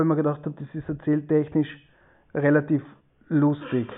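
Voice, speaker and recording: A man's fairly high, monotone voice with flat intonation. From Austria, East Tyrol (Lienz). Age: 40s. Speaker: author. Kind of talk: interview. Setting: video call.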